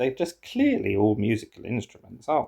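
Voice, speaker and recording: The man's voice has a dark, mellow tone and is somewhat breathy. His pitch sits in the medium range with ordinary pitch variation. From England. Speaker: puzzle game streamer. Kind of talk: casual solo commentary while playing a word puzzle. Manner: thinking aloud, halting.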